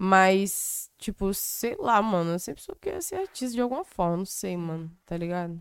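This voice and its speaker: In a plain, everyday voice, a woman speaks at a moderate pace and a medium pitch with ordinary pitch variation and hardly any pauses. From Brazil, Espírito Santo (Cariacica). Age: 20s. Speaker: rapper. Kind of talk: casual chat.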